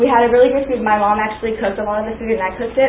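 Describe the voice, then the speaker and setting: A woman with a fairly high pitch and fairly even intonation, amid audible room echo and noticeable background noise. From Pakistan. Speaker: student. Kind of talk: class presentation.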